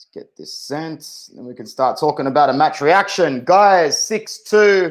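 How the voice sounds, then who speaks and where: A man with an Australian accent speaks with hardly any pauses and big swings in loudness. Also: fairly high pitch for a man, ordinary pitch variation, fairly slow pace. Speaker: football fan streamer. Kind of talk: live watch-along stream. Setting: live stream. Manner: animated.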